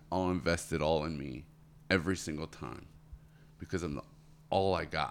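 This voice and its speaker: A man with an American accent speaks at a very deep, low pitch with vocal fry. His pace is fairly quick, and the recording is very clean with a silent background. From Florida. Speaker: tree service business owner. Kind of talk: casual interview.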